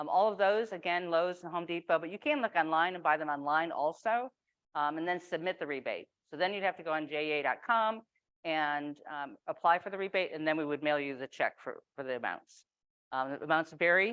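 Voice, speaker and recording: This woman talks at a fairly quick pace in a fairly low pitch, with ordinary pitch variation. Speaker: utility program manager. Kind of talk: presentation. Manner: casual.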